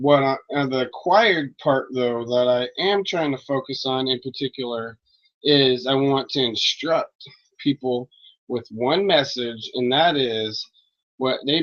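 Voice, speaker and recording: A mumbling man at a moderate pace, fairly high in pitch, with ordinary pitch variation. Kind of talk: casual monologue on religion.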